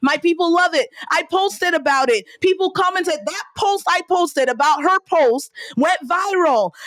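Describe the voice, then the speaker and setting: A woman with a slight Nigerian accent speaks at a moderate pace and an extremely high pitch, her tone animated and her intonation lively. The sound is dry and close, with no echo. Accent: Nigerian, slight, comes out on some words. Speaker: entrepreneur and business coach. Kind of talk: podcast interview.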